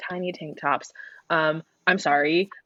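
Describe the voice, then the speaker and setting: An ordinary speaking voice from a woman, fairly low in pitch with ordinary pitch variation, at a fairly quick pace, in a dry, close sound with no echo. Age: 20s. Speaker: podcast co-host. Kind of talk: casual chat.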